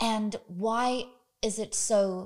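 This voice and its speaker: A woman talks in a British accent at a medium pitch with ordinary pitch variation. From Britain. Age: 30s. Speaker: podcast host. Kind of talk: interview. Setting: guest's home.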